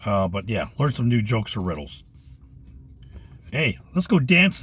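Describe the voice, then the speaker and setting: Somewhat breathy speech moves at a fairly quick pace with very wide swings in pitch. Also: man. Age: 60s. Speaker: retired vlogger. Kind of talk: casual vlog monologue. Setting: in a parked car. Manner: halting, many fillers.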